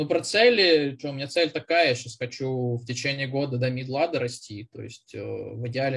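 A man is speaking. His voice is somewhat breathy. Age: 30s. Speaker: junior software developer, former bank employee. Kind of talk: casual interview.

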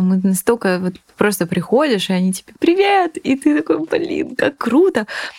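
The woman's pitch is medium. Her voice swings very widely in pitch. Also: dry, close sound with no echo. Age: 20s. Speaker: food startup co-founder. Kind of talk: casual chat.

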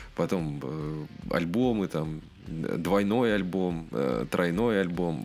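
Noticeable background noise accompanies a man's very deep, low voice as he speaks very slowly with ordinary pitch variation. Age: 30s. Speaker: rock podcast host. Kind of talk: casual chat.

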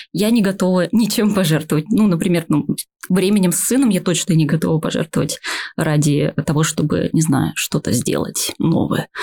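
A woman with a fairly low pitch and a dark, mellow tone sounds somewhat breathy, her loudness very even in a dry, close sound with no echo. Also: ordinary pitch variation, moderate pace. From Buryatia, Russia (Ulan-Ude). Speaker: playwright. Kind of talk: casual chat. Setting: studio.

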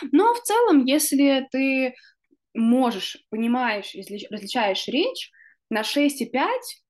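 A woman talks at a very slow pace. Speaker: podcast host. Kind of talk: casual chat.

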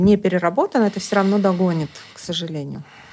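Noticeable background noise can be heard. Over it, a woman speaks fairly quickly. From Estonia. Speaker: psychologist. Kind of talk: casual chat.

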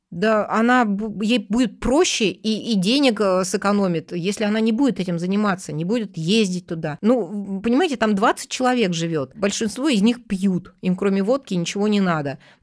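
On a very clean recording with a silent background, a woman with a plain, everyday voice speaks at a moderate pace in a medium pitch with ordinary pitch variation. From Russia, Tomsk. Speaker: journalist. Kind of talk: interview.

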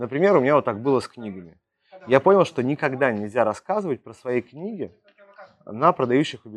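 A man with an unremarkable speaking voice talks at a fairly quick pace and a medium pitch. His intonation is lively, and his loudness swings widely. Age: 30s. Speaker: sales coach. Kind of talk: monologue podcast on sales. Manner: casual, filler-heavy.

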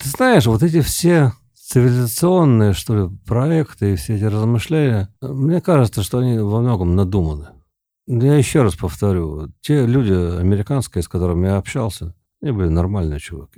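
On a very clean recording with a silent background, a man with a dark, mellow tone speaks at a moderate pace with very wide pitch swings. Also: medium pitch for a man. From Siberia, Tomsk. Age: 50s. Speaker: poet. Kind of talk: casual chat. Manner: halting.

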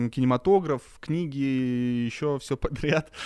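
Against a quiet background, a normal speaking voice carries ordinary pitch variation. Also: man. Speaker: podcast host. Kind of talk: casual chat.

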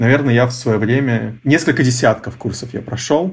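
This man's voice sits at a medium pitch and is somewhat breathy. His pitch variation is ordinary. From Russia, Novosibirsk (Akademgorodok). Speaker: head of design. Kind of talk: interview.

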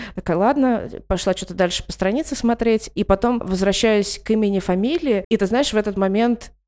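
A woman's dark, mellow tone at a medium pitch, with ordinary pitch variation and a fairly quick pace. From Ivanteyevka, Moscow region. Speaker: podcast host. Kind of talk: casual interview chat. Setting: call.

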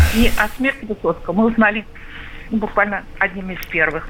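A woman speaks at a moderate tempo with ordinary pitch movement, clearly audible background noise behind her. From Moscow, Russia. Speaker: radio caller. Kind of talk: phone-in reminiscence.

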